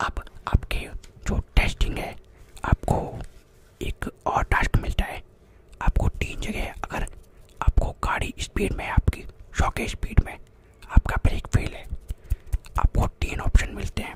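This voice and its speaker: A soft-spoken man at a very slow pace, with long, frequent pauses, a dry sound with no echo, and loud background noise. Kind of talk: playful role-play talk, ASMR-like. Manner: soft close-mic ASMR voice. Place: home room. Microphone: studio mic.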